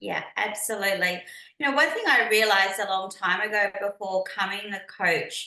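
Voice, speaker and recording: With an Australian accent, a woman talks at a moderate pace and medium pitch, her pitch varying in an ordinary way over audible room echo. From Australia, Melbourne. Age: 50s. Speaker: business and mindset coach. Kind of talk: podcast interview.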